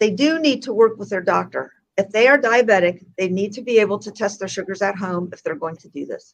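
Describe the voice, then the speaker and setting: A woman talks at a fairly quick pace and medium pitch, with ordinary pitch variation and big swings in loudness. It is a plain, everyday voice. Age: 60s. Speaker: health educator. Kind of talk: interview.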